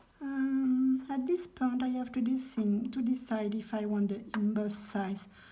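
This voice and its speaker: A woman's fairly slow speech with ordinary pitch variation, amid noticeable background noise. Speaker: crafter, junk journal maker. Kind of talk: craft tutorial talk to camera. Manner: hesitant, with many fillers.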